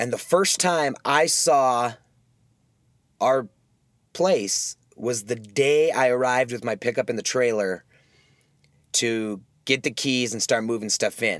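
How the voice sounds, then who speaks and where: Fairly slow and full of long, frequent pauses, a man with an American accent speaks at medium pitch with ordinary pitch variation. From US Midwest. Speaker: podcast host. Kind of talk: casual solo monologue. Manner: rambling with many fillers.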